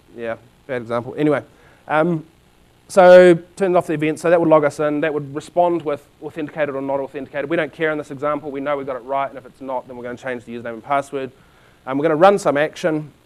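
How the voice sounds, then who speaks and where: A man with a New Zealand accent, very fast, with fairly even intonation and big swings in loudness. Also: fairly high pitch for a man. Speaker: conference speaker. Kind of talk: technical presentation. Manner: halting, many fillers.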